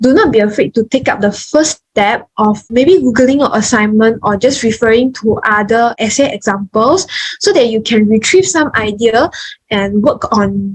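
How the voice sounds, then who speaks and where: A woman speaks at a fairly high pitch with ordinary pitch variation. Her loudness stays very even, and her voice is somewhat breathy. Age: young. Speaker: nursing student. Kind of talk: online talk presentation.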